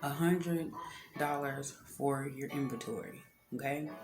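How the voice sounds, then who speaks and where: A woman with a very deep, low voice speaks amid audible room echo and music in the background. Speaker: beauty entrepreneur and vlogger. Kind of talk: tutorial. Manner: casual, with many filler words.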